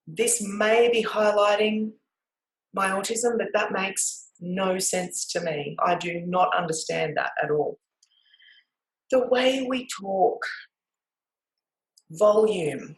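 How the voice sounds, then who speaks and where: A woman with an Australian accent speaks at a medium pitch. Her pace is very slow, broken by long, frequent pauses. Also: ordinary pitch variation. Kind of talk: talk to camera. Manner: loud; variable pace.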